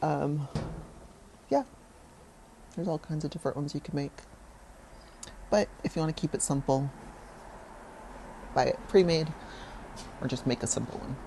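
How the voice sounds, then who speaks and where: A woman speaks at a fairly quick pace in a very deep, low voice with a dark, mellow, somewhat breathy tone, ordinary pitch variation, and long, frequent pauses. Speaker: home cook hosting a cooking show. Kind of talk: casual cooking tutorial.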